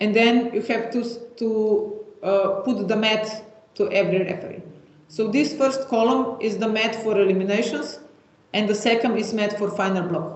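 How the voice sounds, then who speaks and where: A moderate pace over noticeable background noise. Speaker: software trainer. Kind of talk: webinar tutorial. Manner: hesitant, many fillers.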